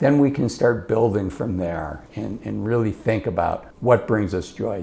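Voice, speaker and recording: A man with a plain, everyday voice keeps to a medium pitch and moderate pace, with ordinary pitch variation. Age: 50s. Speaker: financial advisor. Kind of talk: casual talking-head advice monologue. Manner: conversational, with filler words and repetitions.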